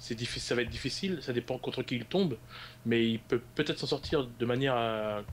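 A man speaks in a plain, everyday voice, keeping a moderate pace and ordinary pitch variation. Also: medium pitch for a man. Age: 20s. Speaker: esports league staff member. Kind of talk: interview.

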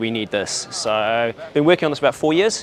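A man speaks at a fairly quick pace. The sound is dry with no echo, with light background noise. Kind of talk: interview answer. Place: market. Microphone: lapel.

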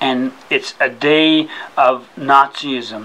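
Light background noise runs through the clip. Over it, a man talks. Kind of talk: informal explanation to a visitor. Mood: calm, ends with a laugh. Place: office. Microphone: camera far.

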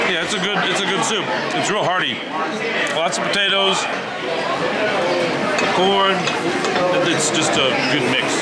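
A man talks at a moderate pace with long, frequent pauses while crowd noise fills the background. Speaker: family travel vlogger. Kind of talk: casual vlog chat. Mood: cheerful, appreciative. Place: cafe. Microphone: phone near.

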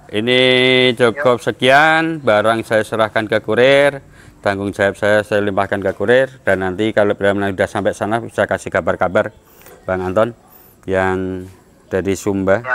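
A man with a fairly low pitch uses a normal speaking voice, ordinary pitch variation and a moderate pace. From Java, Indonesia. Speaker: machine seller. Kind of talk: casual vlog talk. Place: garage.

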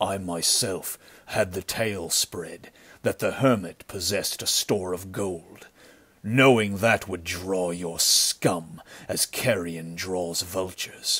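In a put-on character voice, a man talks at a fairly slow pace. The voice is very deep, low and resonant, with fairly even intonation. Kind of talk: pulp adventure audiobook acting. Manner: cold, grim, stern; menacing.

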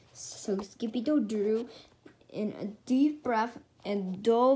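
Ordinary pitch variation in plain reading aloud.

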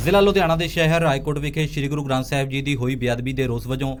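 A plain, everyday voice with ordinary pitch variation. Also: man. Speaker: news reporter. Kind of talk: news reading. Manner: formal.

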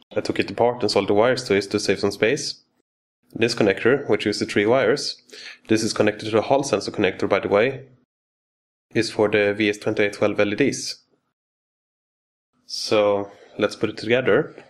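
A non-native accent at a fairly quick pace, with fairly even intonation and long, frequent pauses. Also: man, fairly low pitch for a man. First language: not English. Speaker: electronics hobbyist engineer. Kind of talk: technical tutorial demo. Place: workshop.

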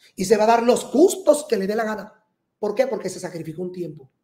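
A man talks at a moderate pace. The background is quiet, though there is audible room echo. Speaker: astrologer host. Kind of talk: horoscope reading monologue. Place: studio.

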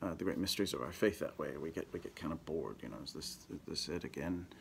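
Light background noise accompanies a man who speaks at a fairly quick pace. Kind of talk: homily / spiritual reflection. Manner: conversational, with frequent filler words. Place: office. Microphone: phone near.

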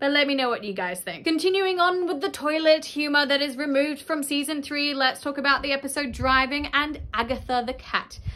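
The speaker has an Australian accent and talks at a fairly quick pace with hardly any pauses. Pitch varies in an ordinary way. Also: woman, high pitch for a woman. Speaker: YouTuber reviewing a kids' cartoon. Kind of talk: casual vlog commentary. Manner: animated. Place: home room.

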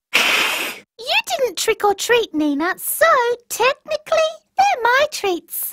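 A put-on character voice, female-sounding, at an extremely high pitch and a very slow pace. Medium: short film. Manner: cheeky, playful.

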